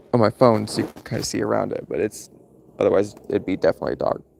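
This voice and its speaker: A man with an American accent, fairly quick, in a dry, close sound with no echo. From US Midwest, Missouri near St Louis. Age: 30s. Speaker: livestreamer. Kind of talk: casual live stream chat.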